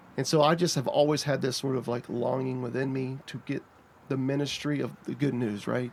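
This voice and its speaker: With an American accent and vocal fry, a man talks fairly quickly at a medium pitch with fairly even intonation. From North Carolina. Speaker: pastor. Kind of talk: casual chat. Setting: podcast recorded in a treehouse.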